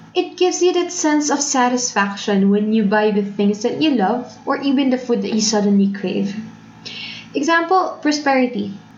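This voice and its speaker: A woman with a high pitch speaks at a moderate pace, her loudness very even. Audible room echo and noticeable background noise surround her. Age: 20s. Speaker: faith podcaster. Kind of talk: personal reflection monologue. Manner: code-switching Taglish.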